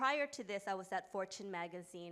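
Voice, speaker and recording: A woman speaks in a New York accent. Her fairly low voice moves at a fairly quick pace. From US, New York. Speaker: company founder and author. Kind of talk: panel discussion.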